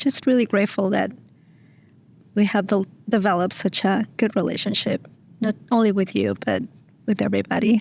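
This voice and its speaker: A woman with a Mexican accent talks fairly quickly at medium pitch, with vocal fry, fairly even intonation and long, frequent pauses. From Mexico. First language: Spanish. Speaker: single mom, nonprofit staff member. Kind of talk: interview, personal story. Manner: hesitant, many fillers.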